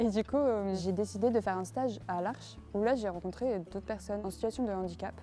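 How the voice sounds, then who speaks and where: With music in the background, a woman of medium pitch talks at a fairly quick pace, with fairly even intonation and hardly any pauses. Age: 20s. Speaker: student. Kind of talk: testimony. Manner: hesitant, many filler words.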